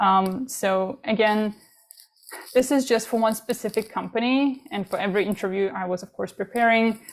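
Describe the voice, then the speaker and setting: At a moderate pace, a woman with a non-native accent speaks at a fairly high pitch with fairly even intonation. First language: not English. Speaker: international student panelist. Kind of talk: panel presentation.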